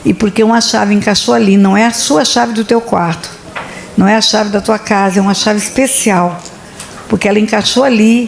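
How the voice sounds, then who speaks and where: A woman with a fairly high pitch speaks at a fairly quick pace and very even loudness. Noticeable background noise sits behind her. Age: 70s. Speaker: pastor. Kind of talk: sermon. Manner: animated.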